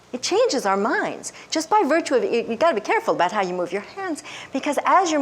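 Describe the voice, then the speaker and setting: The voice makes very wide pitch swings against noticeable background noise. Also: woman. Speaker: developmental psychologist. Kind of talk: lecture. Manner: fast.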